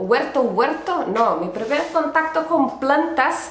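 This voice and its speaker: Very slowly, a woman with a Brazilian accent speaks with ordinary pitch variation amid noticeable background noise and audible room echo. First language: Portuguese (speaking Spanish). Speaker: podcast host, urban gardener. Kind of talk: casual solo podcast narration.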